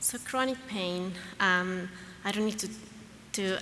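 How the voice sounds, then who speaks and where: A woman with a Latin American accent speaks at a fairly slow pace and medium pitch, and audible room echo can be heard. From Argentina. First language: Spanish. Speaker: pediatrician and researcher. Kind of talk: conference talk. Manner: halting, many fillers.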